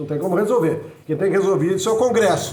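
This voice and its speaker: The man's voice is high in pitch, with ordinary pitch variation. Audible room echo and noticeable background noise accompany him. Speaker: political commentator and author. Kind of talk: monologue video message. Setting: improvised home recording. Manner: fast; halting with repetitions.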